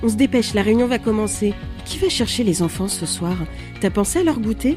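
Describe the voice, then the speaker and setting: A woman talking at a fairly quick pace, with music in the background. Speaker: podcast host. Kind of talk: podcast intro narration.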